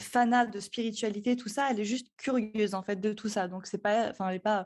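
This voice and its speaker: The intonation stays fairly even at a fairly quick pace. The background is quiet. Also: woman. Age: 20s. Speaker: astrologer and podcast producer. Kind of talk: podcast interview. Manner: hesitant, many fillers.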